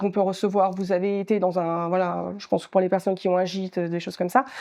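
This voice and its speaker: Against a quiet background, a woman talks in a flat monotone with a dark, mellow tone. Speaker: workshop trainer on online marketing. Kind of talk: training workshop presentation. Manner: fast; hesitant, many fillers.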